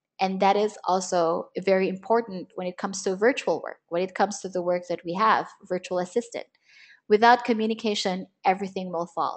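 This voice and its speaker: Against a quiet background, a woman uses a normal speaking voice at medium pitch, speaking fairly quickly with fairly even intonation. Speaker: virtual assistant trainer. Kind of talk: webinar lecture. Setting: online webinar. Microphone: internet connection problems.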